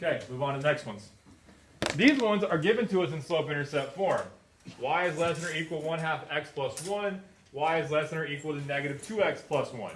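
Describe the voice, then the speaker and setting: Through audible room echo and noticeable background noise, a man with a fairly high voice talks very fast with ordinary pitch variation. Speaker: math teacher. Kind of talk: classroom lesson. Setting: classroom with students.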